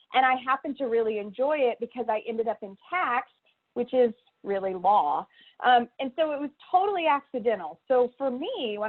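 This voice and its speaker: With a slight Texas accent, a woman speaks at a moderate pace in a high pitch with lively intonation. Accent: slight Texas twang. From Texas Panhandle. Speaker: career center director, former professor. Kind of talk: presentation.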